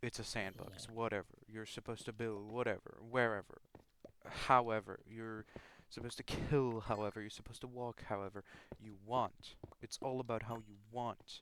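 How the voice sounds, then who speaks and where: A man's monotone, flat delivery with big swings in loudness. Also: medium pitch for a man, moderate pace. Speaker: gaming commentator. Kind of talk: rant. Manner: halting, many false starts.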